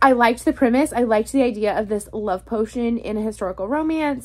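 With ordinary pitch variation, the talking runs at a fairly quick pace. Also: woman. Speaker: book vlogger. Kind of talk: casual vlog chat. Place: home room. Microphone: phone near.

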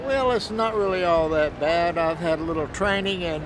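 Against noticeable background noise, a high-pitched man talks with ordinary pitch variation in a dry sound with no echo. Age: 60s. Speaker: homeless military veteran. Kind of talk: interview answer. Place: street.

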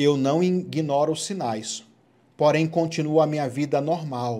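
A man's animated, warm voice at a fairly slow pace, with ordinary pitch variation. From Goiás, Brazil. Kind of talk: sermon-style preaching with Bible reading and end-times commentary to camera. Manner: animated, urgent, exhorting the viewer directly; informal and warm, chatty. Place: home room.

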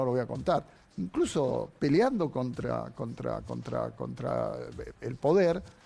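A man speaks in a Rioplatense accent. His pace is fairly slow. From Argentina. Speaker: TV show host. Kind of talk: TV panel commentary. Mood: firm, defensive, impassioned. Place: studio. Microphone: lapel.

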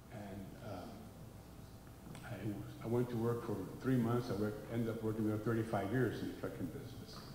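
Over noticeable background noise and audible room echo, a man speaks at a medium pitch in a monotone, flat intonation. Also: moderate pace, hardly any pauses. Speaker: relative of the deceased; speaker. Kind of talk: eulogy. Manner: halting. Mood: reflective, reminiscing. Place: church. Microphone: handheld.

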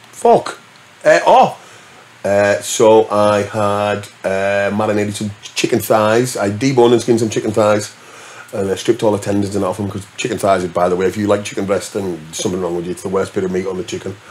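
A man with a northern English accent, fairly low in pitch, fairly quick and flat in a monotone, over light background noise. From northern England. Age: 40s. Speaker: DJ; podcast guest. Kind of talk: casual chat. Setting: studio. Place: studio. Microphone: studio mic.

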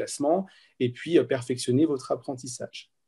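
A somewhat breathy male voice, dark and mellow in tone, at a fairly high pitch. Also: quiet background. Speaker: medical student and tutoring coordinator. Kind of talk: webinar presentation.

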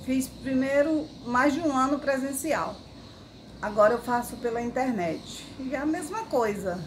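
Amid noticeable background noise, a woman speaks at a fairly slow pace with lively intonation. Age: 60s. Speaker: patient giving a testimonial. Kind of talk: patient testimonial. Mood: calm, pleased. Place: garden. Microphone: phone near.

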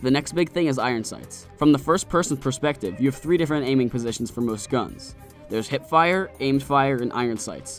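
With music in the background, a man talks very fast at a medium pitch with ordinary pitch variation. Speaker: video game reviewer. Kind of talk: game review narration.

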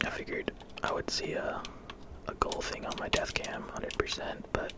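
Whispering at a moderate pace in a relaxed tone, a man speaks against noticeable background noise. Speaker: gaming ASMR content creator. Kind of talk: casual gameplay commentary. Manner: relaxed, quiet.

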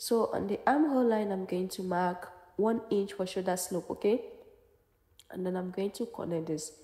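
This woman's voice is somewhat breathy with a dark, mellow tone. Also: medium pitch for a woman, ordinary pitch variation, moderate pace. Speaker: sewing pattern instructor. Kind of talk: tutorial.

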